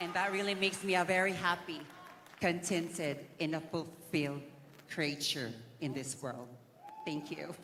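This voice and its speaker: Amid noticeable background noise and audible room echo, a fairly low-pitched woman speaks at a moderate pace with ordinary pitch variation and long, frequent pauses. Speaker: beauty pageant contestant. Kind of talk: pageant interview.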